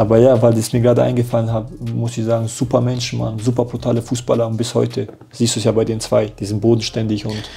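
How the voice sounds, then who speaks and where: Over faint music in the background, a man speaks at a very fast pace. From Germany. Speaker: professional footballer; interview guest. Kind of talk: casual interview chat. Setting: hotel. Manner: animated. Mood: lively storytelling, animated. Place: home room.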